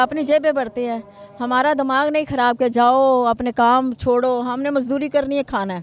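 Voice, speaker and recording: Over noticeable background noise, a woman's voice sits high, its pitch moving in an ordinary way. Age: 50s. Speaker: member of the public. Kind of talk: street interview.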